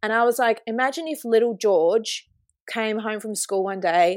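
Speaking at a moderate pace, a woman has an Australian accent. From Australia, Kalgoorlie (regional WA). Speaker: artist and queer community organiser. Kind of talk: interview. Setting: remote call.

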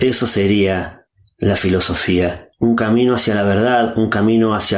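A man's voice sits fairly low. He speaks with monotone, flat intonation. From Argentina. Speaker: philosopher and podcaster. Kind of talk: prepared monologue.

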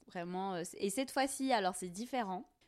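An unremarkable speaking voice from a woman, medium in pitch with ordinary variation, at a moderate pace, in a very clean recording over a silent background. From Algeria, Tizi Ouzou, Kabylie. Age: 30s. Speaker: content creator. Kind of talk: casual interview.

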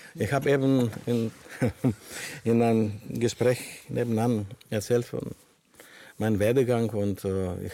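A man speaks with a Greek accent at a moderate pace. His pitch is fairly low, and his intonation stays fairly even. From Greece. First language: Greek (speaking German). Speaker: panel guest. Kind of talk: panel discussion. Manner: halting.

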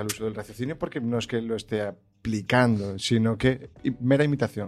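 In an unremarkable speaking voice, the speaker talks at a moderate pace with ordinary pitch variation. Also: man. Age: young. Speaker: guest discussing emotional intelligence. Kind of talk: casual chat.

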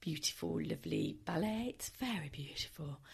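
A woman's croaky voice with vocal fry, a slightly mellow tone and a fairly quick pace

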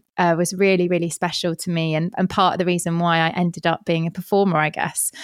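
A woman's fairly low voice in an English accent, fairly quick, dry and close with no echo, on a very clean recording with a silent background. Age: 30s. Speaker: podcaster. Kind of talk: casual chat.

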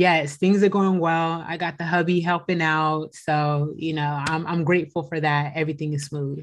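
A woman with an American accent, very deep and low-pitched, monotone and flat, at a moderate pace with hardly any pauses against a quiet background. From US West Coast, San Francisco Bay Area. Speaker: attorney. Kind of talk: interview.

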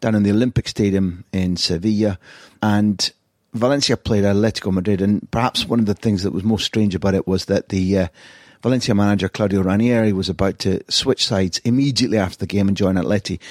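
Speaking at a very fast pace with a Scottish accent, a man keeps fairly even intonation and very even loudness, recorded very cleanly with a silent background and a dry, close sound with no echo. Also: fairly low pitch for a man. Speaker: football journalist and podcast host. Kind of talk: scripted narration; interview.

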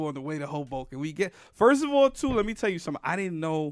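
A man with a New York accent at a very fast pace and fairly high pitch, in a very clean recording with a silent background. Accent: New York (Bronx) English. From New York City, the Bronx. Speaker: podcast host and stand-up comedian. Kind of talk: casual chat.

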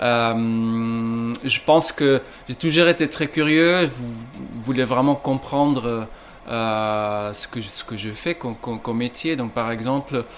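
The man's medium-pitched voice moves very slowly with ordinary pitch variation as noticeable background noise continues. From Belgium, Ghent (Flanders). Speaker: coffee roaster. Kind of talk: interview. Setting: coffee roasting shop. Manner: halting, many repetitions and fillers.

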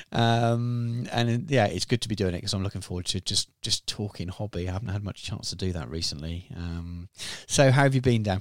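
A man talks at a fairly quick pace in a plain, everyday voice. His pitch is fairly low, with ordinary pitch variation. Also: very clean recording, silent background. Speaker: podcast host. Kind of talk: casual chat. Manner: rambling, filler-heavy.

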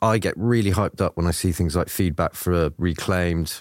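This man has a very deep, low voice with ordinary pitch variation and a moderate pace. The sound is dry and close with no echo, and the recording is very clean with a silent background. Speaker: video game producer. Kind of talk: casual podcast chat. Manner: enthusiastic.

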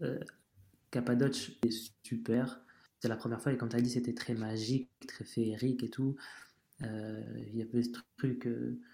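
Monotone and flat in intonation, a man speaks at a moderate pace in a dark, mellow tone. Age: 30s. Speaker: travel cyclist. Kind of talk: casual chat.

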